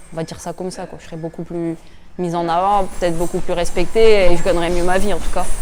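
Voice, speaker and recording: At a very fast pace, a woman talks in a monotone, flat intonation. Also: fairly low pitch for a woman. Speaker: professional boxer, world champion. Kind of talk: interview, personal reflections. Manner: hesitant, many repetitions and fillers.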